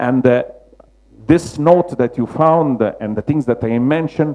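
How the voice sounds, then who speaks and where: With a Roman accent, a man speaks in a dark, mellow tone with ordinary pitch variation. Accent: Roman Italian. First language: Italian. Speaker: mosaic restorer. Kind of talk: lecture. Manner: halting, many fillers.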